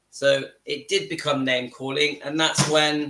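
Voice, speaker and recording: A man speaks with a southern English accent at a fairly slow pace. His pitch is fairly high. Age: 50s. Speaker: YouTube channel host. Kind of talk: live stream chat. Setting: home kitchen.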